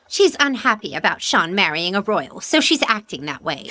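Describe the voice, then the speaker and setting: Swinging very widely in pitch, a put-on character voice moves at a moderate pace. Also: woman, medium pitch for a woman. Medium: fan dub.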